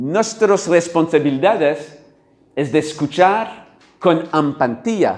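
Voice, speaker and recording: Very slowly, a man with a French accent speaks with lively intonation. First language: French (speaking Spanish). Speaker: workshop facilitator. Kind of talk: workshop talk. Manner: halting.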